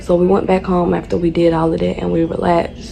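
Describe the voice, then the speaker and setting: Amid noticeable background noise, a woman with a Southern US accent speaks at a moderate pace. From North Carolina. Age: 20s. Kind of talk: casual storytime talk to camera.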